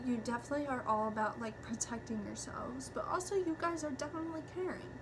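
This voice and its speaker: A woman's voice with very wide pitch swings, audible room echo and noticeable background noise. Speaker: tarot reader. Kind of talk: tarot reading monologue. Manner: filler-heavy, halting.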